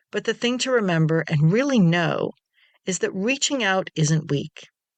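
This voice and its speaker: At a moderate pace, the speaker has a warm, gentle tone over a quiet background. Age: 60s. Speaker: self-care podcast host. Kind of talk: podcast monologue.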